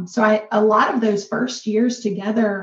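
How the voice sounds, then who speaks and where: A fairly high-pitched woman's voice in a Kentucky accent. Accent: Kentucky American. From rural northern Kentucky. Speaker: business co-owner and co-host. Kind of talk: interview storytelling.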